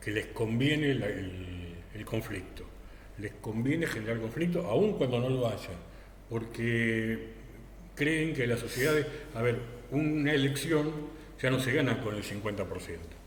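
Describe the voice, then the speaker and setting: There is audible room echo around a man speaking at a fairly slow pace. His intonation is lively, and his pauses are long and frequent. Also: medium pitch for a man. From Argentina. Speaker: political commentator. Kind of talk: political discussion. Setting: TV studio.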